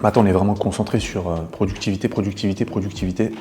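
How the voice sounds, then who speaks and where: A man talks at a fairly quick pace with a fairly low pitch and fairly even intonation, over noticeable background noise. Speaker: e-commerce entrepreneur and business coach. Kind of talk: vlog narration. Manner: casual with many filler words; soft-spoken.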